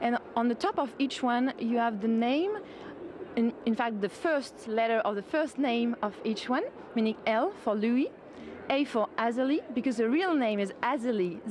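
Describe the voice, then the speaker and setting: A woman with a French accent talks at a high pitch and moderate pace, with very even loudness and ordinary pitch variation. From France. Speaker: sculptor. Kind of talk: TV interview.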